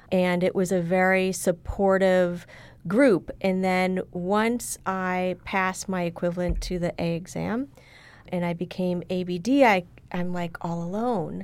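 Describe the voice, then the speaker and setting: Recorded very clean with a silent background, a woman with a normal speaking voice talks at a medium pitch with fairly even intonation. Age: 40s. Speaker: university diversity director and PhD candidate. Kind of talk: casual interview.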